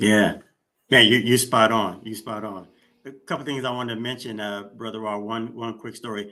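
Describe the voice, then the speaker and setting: A man in a normal speaking voice with an American accent, medium in pitch, at a moderate pace with fairly even intonation and big swings in loudness. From Sacramento, California. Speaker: podcast host. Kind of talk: interview chat.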